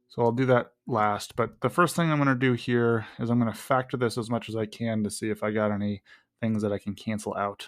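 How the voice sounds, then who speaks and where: A man with a plain, everyday voice speaks at medium pitch and a moderate pace, his intonation fairly even, on a very clean recording with a silent background. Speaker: math teacher. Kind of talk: tutorial.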